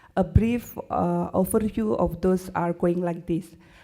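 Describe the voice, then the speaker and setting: A woman with an Indonesian accent speaks at a fairly slow pace and medium pitch, her dark, mellow tone carried by fairly even intonation. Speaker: university lecturer. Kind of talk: conference presentation. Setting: conference stage with audience. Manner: halting, many hesitations.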